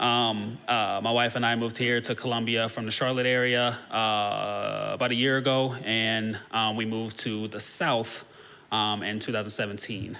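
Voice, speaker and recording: Over audible room echo, a man with an American accent talks in a flat monotone. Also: medium pitch for a man, moderate pace. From northeast Ohio, US Midwest. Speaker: social services worker. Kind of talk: presentation to a church congregation. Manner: halting, many filler words.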